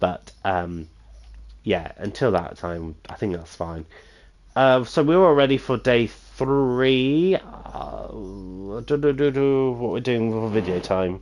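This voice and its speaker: A man speaks at a very slow pace and a medium pitch, with long, frequent pauses. His pitch swings very widely. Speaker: gaming streamer. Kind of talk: gameplay commentary. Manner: calm, plain; halting, many fillers.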